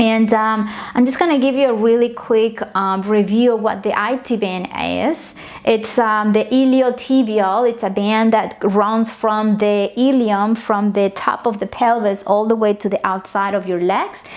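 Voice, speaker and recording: With a Spanish accent, a woman with fairly high pitch speaks at a fairly slow pace with hardly any pauses and fairly even intonation over noticeable background noise. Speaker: yoga and meditation teacher. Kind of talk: tutorial. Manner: hesitant, many fillers.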